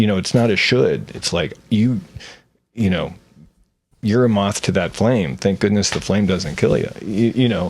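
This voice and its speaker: A man talks at a moderate pace with a fairly low pitch and ordinary pitch variation. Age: 60s. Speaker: podcast guest. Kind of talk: casual chat. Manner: halting.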